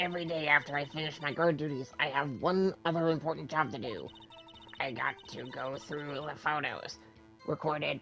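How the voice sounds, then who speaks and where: A man uses a put-on character voice, raspy and fairly high-pitched. He speaks at a moderate pace over clear background music. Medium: actual play. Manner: rambling, condescending, old-fashioned slang.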